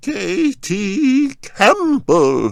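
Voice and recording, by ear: Shouting in a shaky, put-on character voice, a man pitches himself high.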